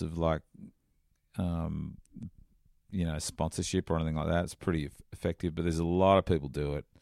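A man with an Australian accent, very deep and low in pitch, at a fairly quick pace with long, frequent pauses, fairly even intonation, and a dry, close sound with no echo. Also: very clean recording, silent background. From Australia, Sydney northern beaches. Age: 50s. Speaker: surfing journalist. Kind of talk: casual interview. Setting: in person in California. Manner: halting, many fillers.

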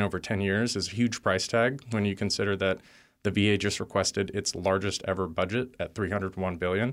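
A man with an American accent talks in a plain, everyday voice, fairly low in pitch and at a fairly quick pace. His intonation stays fairly even on a very clean recording with a silent background. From Texas. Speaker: Marine veteran and advocacy director. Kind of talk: interview.

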